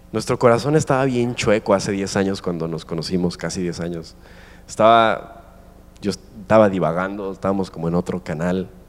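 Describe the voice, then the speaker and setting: A man speaks at a moderate pace in a very deep, low voice, with an animated tone and ordinary pitch variation. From Mexico. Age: 20s. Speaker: guest preacher. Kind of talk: sermon. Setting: stage with audience.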